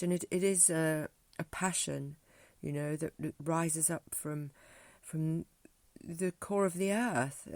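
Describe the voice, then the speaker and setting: A woman with a southern English accent speaks fairly slowly, her pitch fairly low and ordinarily varied. The recording is very clean with a silent background, and the sound is dry and close with no echo. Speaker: music teacher and spoken word artist. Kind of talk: casual vlog monologue. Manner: halting, many fillers.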